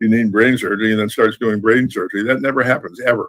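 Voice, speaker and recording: A man talks at a very fast pace. His medium-pitched voice keeps fairly even intonation. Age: 70s. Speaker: Ifa priest. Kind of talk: online interview, teaching talk. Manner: conversational with fillers.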